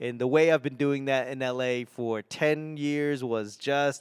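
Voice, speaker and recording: Speaking in an American accent, a man uses a fairly high pitch at a fairly slow pace. The sound is dry and close, with no echo. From Boston, New England. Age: 40s. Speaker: stand-up comedian and podcast host. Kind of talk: casual podcast monologue.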